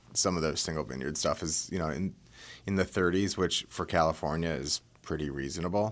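A man's very deep, low voice with vocal fry and an American accent, fairly quick with ordinary pitch variation, on a very clean recording with a silent background. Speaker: wine shop partner. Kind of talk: casual interview chat about wine. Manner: animated, enthusiastic.

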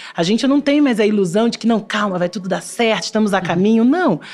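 A woman's fairly high pitch at a very fast pace, with lively intonation. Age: 40s. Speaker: television creative director. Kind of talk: interview.

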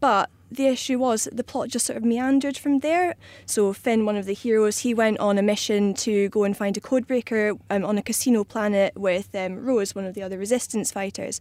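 Fairly quick speech with a Scottish accent and ordinary pitch variation, on a very clean recording with a silent background. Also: woman, fairly high pitch for a woman. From Scotland. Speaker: magazine editor. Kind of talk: panel discussion.

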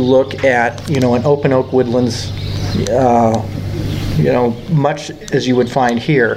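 A man with an American accent talks at a fairly slow pace in a medium pitch. Noticeable background noise runs behind him. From Chicago area, Illinois. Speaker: park district naturalist and educator. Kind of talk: interview. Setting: outdoors at a nature facility. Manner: halting, repetitive.

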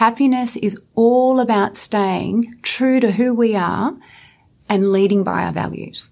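With an Australian accent, a woman speaks fairly slowly in a fairly high voice and fairly even intonation. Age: 40s. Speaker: clinical psychologist. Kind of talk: interview.

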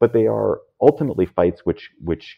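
A man with an American accent speaks at a moderate pace, his intonation lively. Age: 50s. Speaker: podcast host and media founder. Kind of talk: casual chat.

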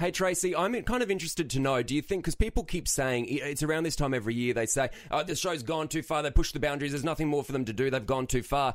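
A man with an Australian accent talks at a very fast pace with hardly any pauses. His pitch is fairly high and his intonation lively. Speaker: podcast host. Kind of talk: casual chat. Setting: studio.

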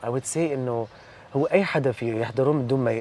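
A man's medium-pitched voice at a moderate pace with ordinary pitch variation, over noticeable background noise. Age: 30s. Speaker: content creator and comedian. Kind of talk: casual interview. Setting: studio.

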